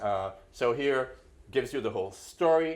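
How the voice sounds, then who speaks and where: Lively intonation and vocal fry mark this man's voice in a very clean recording with a silent background. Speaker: planetary geologist giving a talk. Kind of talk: lecture. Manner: halting, many fillers.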